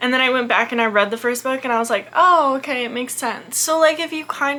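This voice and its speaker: Noticeable background noise fills the clip. Over it, a woman speaks fairly quickly, her pitch varying in an ordinary way. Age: 20s. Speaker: book youtuber. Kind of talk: casual chat. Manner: animated.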